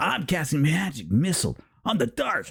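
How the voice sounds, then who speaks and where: A man does a whiny put-on character voice at a fairly high pitch. His pace is moderate. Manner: whiny, snivelling.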